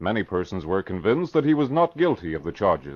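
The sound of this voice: A man speaks at a fairly low pitch. His voice makes big pitch swings.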